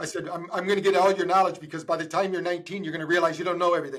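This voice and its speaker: A man's high-pitched voice in an animated tone. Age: 60s. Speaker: podcast host, doctor. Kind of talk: casual interview chat. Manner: animated, with repetitions.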